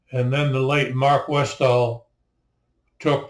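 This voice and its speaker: Somewhat breathy, a man talks at a fairly slow pace with fairly even intonation. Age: 80s+. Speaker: naturalist and local historian. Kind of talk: narration to camera. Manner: halting.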